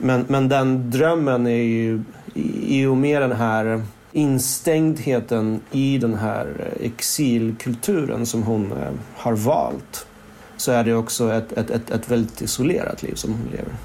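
The man speaks very slowly with medium pitch and ordinary pitch variation. Noticeable background noise can be heard. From Stockholm, Sweden (born in Moscow). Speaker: novelist. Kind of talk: interview. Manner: halting, many restarts.

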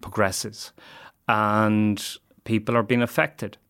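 With an Irish Midlands accent, a man speaks very slowly in a fairly low, monotone voice with flat intonation on a very clean recording with a silent background. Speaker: addiction services worker. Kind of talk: interview.

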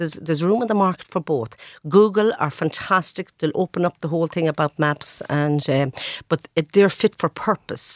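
In a western Irish accent, the voice shows ordinary pitch variation in a very clean recording with a silent background and a dry, close sound with no echo. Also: woman, fairly low pitch for a woman, moderate pace. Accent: Irish (west of Ireland). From west of Ireland (Sligo/Galway). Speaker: chief executive. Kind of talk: radio interview.

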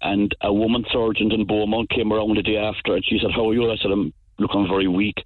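Talking at a fairly quick pace, a man with a rural Cork accent has a medium pitch and a monotone, flat intonation. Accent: rural Cork Irish. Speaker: farmer. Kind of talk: radio phone-in.

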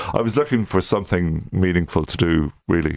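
A man talks in an Irish accent with a very deep, low pitch and ordinary pitch variation. His pace is fairly quick, and the sound is dry and close with no echo. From Ireland, County Louth. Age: 50s. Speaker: literary magazine publisher. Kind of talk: radio interview. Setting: studio. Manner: halting.

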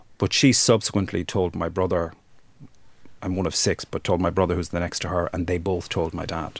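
With an Irish accent, a man talks at a fairly quick pace in a very deep, low pitch and fairly even intonation. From Ireland, rural Wexford. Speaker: human rights campaigner. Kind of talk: interview testimony.

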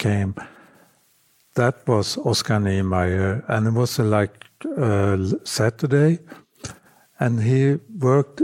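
A man's dark, mellow voice in a Swedish accent, with ordinary pitch variation, a very slow pace and a dry, close sound with no echo. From northern Sweden. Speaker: architectural photographer. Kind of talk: interview. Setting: home apartment.

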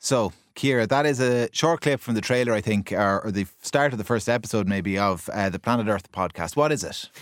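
A man speaks at a fairly quick pace with hardly any pauses, medium pitch and ordinary pitch variation. The recording is very clean, with a silent background. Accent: Irish. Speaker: radio host. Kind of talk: radio panel discussion. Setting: studio.

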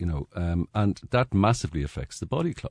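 A man with an Irish accent, very deep and low in pitch, with lively intonation in a dry, close sound with no echo and a quiet background. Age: 60s. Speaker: journalist. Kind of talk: radio panel discussion. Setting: studio.

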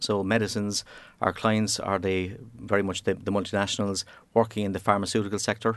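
Talking very fast with a Cork accent, the man has a fairly low pitch against a quiet background. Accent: Cork Irish. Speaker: engineering operations manager. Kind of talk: interview.

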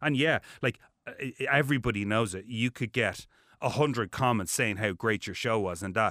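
His pitch is medium and its variation ordinary, and this man keeps a moderate pace. His tone is bright and sharp on a very clean recording with a silent background. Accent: Dublin. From Ireland (Dublin). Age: 40s. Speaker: TV presenter. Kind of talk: interview. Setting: studio. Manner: animated.

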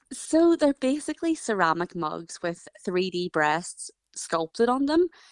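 Over a quiet background, a woman with a Northern Irish accent speaks with lively intonation, the sound dry and close with no echo. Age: 20s. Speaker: ceramic artist. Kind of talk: interview.

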